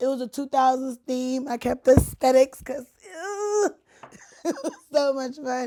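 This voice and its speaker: A woman speaks with a high pitch. Her tone is dark and mellow. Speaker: podcast host. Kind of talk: casual chat. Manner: talkative.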